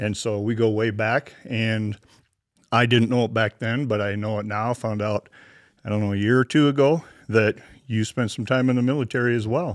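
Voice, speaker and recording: A man speaks with an Upper Midwest accent at a medium pitch. His pace is moderate and his intonation fairly even. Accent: Upper Midwest American. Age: 60s. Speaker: podcast host. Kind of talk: interview.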